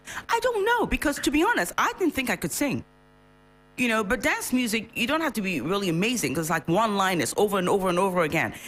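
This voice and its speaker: A woman talks very fast with very wide pitch swings and very even loudness, over noticeable background noise. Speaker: singer. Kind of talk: radio interview.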